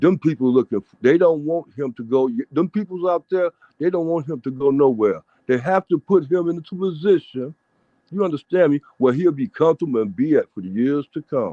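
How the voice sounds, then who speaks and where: A man's fairly high pitch, lively intonation and fairly quick pace. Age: 60s. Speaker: caller on a fan show. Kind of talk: casual chat. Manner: animated.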